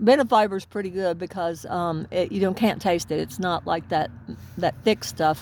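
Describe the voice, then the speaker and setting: Medium-pitched female speech with ordinary variation in pitch. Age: 60s. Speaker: vlogger. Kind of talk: casual monologue. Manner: halting.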